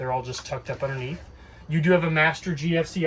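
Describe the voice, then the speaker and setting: Over noticeable background noise, a man talks at a very fast pace in a fairly high pitch with fairly even intonation. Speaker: RV dealership staff giving walkthrough. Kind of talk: tutorial. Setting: inside a travel trailer. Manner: louder to talk over air conditioner.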